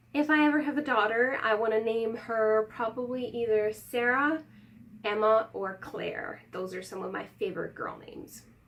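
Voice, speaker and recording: Noticeable background noise runs under a woman's fairly high-pitched voice. She talks at a moderate pace with ordinary pitch variation. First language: not English. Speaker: YouTuber. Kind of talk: casual vlog talk to camera.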